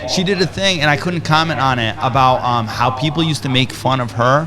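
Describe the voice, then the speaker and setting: A man with a medium pitch, ordinary pitch variation and an animated tone, at a fairly quick pace over noticeable background noise. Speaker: entrepreneur and podcaster. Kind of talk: casual chat. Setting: studio. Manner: fast.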